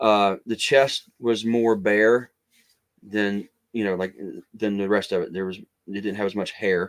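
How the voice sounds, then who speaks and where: On a very clean recording with a silent background and a dry, close sound with no echo, a man speaks at a fairly low pitch and fairly slow pace with fairly even intonation and long, frequent pauses. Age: 50s. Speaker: author and cryptid researcher. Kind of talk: casual interview storytelling. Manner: halting.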